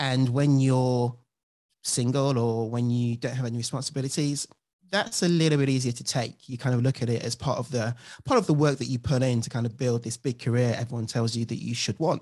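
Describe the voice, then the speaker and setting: A man with a British accent speaks fairly quickly at a medium pitch with fairly even intonation, recorded very cleanly against a silent background. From UK, London area. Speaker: former lawyer turned coach and author. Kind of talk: interview.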